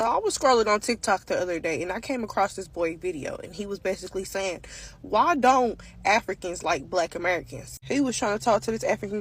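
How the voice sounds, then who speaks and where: With an animated tone and some vocal fry, a woman talks at a fairly quick pace in a medium pitch with ordinary pitch variation. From Africa. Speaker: social media commentator. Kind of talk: monologue.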